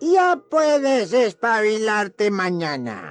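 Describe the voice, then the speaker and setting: A put-on character voice at a fairly high pitch and a very slow pace, with faint music in the background. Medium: read story. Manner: sly, taunting, laughs malevolently.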